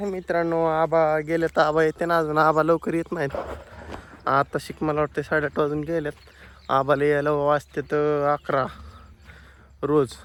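A man delivers his words in a monotone, flat intonation at a fairly high pitch. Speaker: farmer vlogger. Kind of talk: casual vlog.

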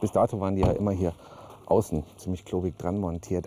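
Low in pitch, a man speaks in a dark, mellow tone.

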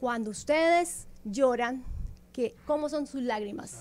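A woman speaks with a Colombian accent. Her pitch variation is ordinary. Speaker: naturopath promoting sea water therapy. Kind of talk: promotional interview talk. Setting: radio studio. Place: studio. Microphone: studio mic.

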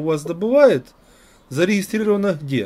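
At a moderate pace, a man is talking. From Ukraine (Kyiv). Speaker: video blogger. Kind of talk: casual chat. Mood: calm, curious. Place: home room. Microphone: webcam.

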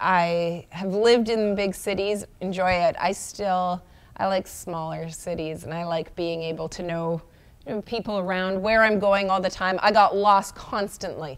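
A woman speaking at a moderate pace with fairly even intonation. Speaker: guest sports reporter. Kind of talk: interview answer. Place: studio. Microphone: lapel.

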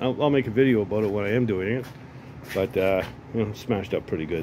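A man at a fairly quick pace with ordinary pitch variation, over light background noise. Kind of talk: casual vlog chat. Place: garage. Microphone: phone near.

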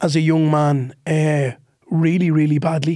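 A man speaks with an Irish accent. His tone is dark and mellow. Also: quiet background. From Ireland. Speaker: comedian. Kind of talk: casual chat. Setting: studio. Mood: earnest, reflective. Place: studio. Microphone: studio mic.

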